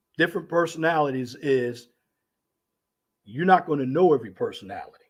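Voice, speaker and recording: The intonation here is lively. The pace is moderate. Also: man. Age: 50s. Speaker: radio show host. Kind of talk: live stream monologue. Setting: live stream on camera.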